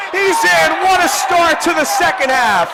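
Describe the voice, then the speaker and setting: A man's extremely high, raised and projected voice at a very slow pace, with ordinary pitch variation and crowd noise in the background. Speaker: college radio sports broadcaster, play-by-play announcer. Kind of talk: highlight reel call, excited game-winning and touchdown calls.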